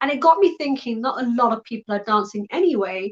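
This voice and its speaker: With a British accent, a woman speaks at a moderate pace. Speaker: live talk host. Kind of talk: live online talk show. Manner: casual, hesitant with fillers.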